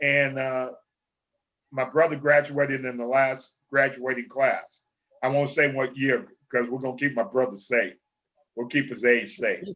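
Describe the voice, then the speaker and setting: This man talks at a moderate pace with a medium pitch and fairly even intonation. He takes long, frequent pauses. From Los Angeles, California. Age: 60s. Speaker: football coach. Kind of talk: interview.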